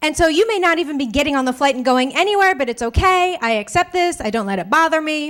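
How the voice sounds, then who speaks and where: The speaker moves along at a fairly quick pace. Pitch variation is ordinary. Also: woman. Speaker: stand-up comedian. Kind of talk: stand-up comedy set to a live audience.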